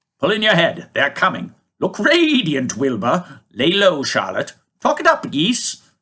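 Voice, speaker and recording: Putting on a character voice, a man speaks at high pitch. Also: moderate pace. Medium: read story. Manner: brisk, commanding.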